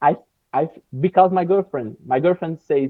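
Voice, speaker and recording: Here a man speaks with a Brazilian accent. His pitch is fairly high, with ordinary pitch variation. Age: 20s. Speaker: English learner, video editor and jiu-jitsu teacher. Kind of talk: casual interview. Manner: slow; halting.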